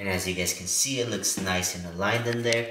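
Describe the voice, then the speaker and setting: This man has a plain, everyday voice. His intonation is fairly even and his pace is moderate. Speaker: car DIY youtuber. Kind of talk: tutorial. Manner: casual.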